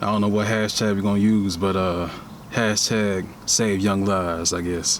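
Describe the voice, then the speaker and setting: Speaking at a moderate pace, a man with a fairly low voice keeps a flat, monotone delivery, and the room gives off an audible echo. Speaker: podcast host. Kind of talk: casual monologue podcast. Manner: halting, repeats words.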